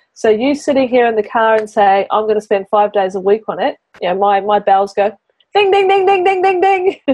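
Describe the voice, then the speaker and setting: Her fairly high voice has a slight New Zealand accent and lively intonation at a fairly quick pace. This woman keeps her loudness very even. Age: 40s. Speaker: business mentor and podcast host. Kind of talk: mentoring session. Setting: in a car.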